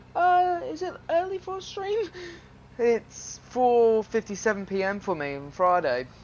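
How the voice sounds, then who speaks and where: A man speaks with lively intonation while noticeable background noise plays behind him. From England, Suffolk. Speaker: gaming streamer. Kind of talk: casual live stream commentary.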